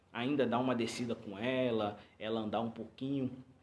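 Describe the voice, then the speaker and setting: Audible room echo accompanies delivery at a moderate pace. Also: man. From Rio de Janeiro, Brazil. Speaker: pastor. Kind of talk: live stream talk to congregation. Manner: halting, many repetitions.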